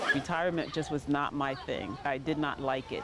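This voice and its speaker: A woman at a fairly quick pace, with ordinary pitch variation, against noticeable background noise. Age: 70s. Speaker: lifeguard. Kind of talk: interview testimony.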